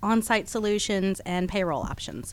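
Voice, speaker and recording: The speaker has a normal speaking voice with an American accent and a moderate pace. The recording is very clean, with a silent background. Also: woman. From Texas and Georgia. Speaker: staffing branch manager. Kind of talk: radio interview. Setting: radio studio.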